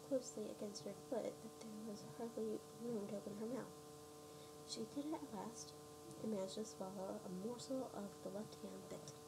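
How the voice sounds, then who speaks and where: Soft-spoken at a moderate pace, a woman uses a medium pitch with very wide pitch swings over noticeable background noise. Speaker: ASMR reader. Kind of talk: read story.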